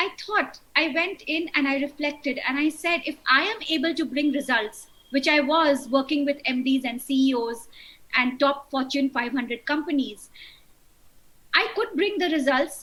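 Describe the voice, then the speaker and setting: At a moderate pace, a woman talks with a high pitch, ordinary pitch variation and a bright, sharp tone. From India, rural Bihar. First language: Hindi. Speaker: wedding coach. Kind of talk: interview.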